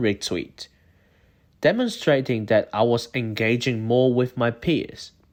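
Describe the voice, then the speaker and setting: A man with a non-native accent speaks at a medium pitch with lively intonation. The recording is very clean, with a silent background. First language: not English. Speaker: university student. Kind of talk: scripted narration. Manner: formal.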